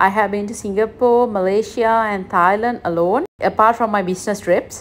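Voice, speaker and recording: A woman talks while light noise runs in the background. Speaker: solo travel vlogger. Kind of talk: casual vlog chat. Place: station. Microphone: phone near.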